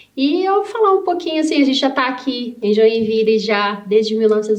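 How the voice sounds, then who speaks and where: A woman at a fairly quick pace with ordinary pitch variation, over noticeable background noise. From Brazil, rural interior of Paraná. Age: 40s. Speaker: civil engineer and business owner. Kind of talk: interview.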